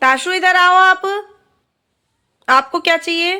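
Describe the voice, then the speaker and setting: A woman's voice at an extremely high pitch. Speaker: vlogger and mother. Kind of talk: casual vlog narration. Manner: soft-spoken.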